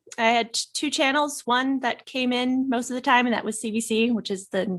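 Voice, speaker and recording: A woman speaks with a Canadian accent. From Canada, rural Nova Scotia. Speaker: author and publisher. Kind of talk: interview conversation. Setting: podcast. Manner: halting, many fillers.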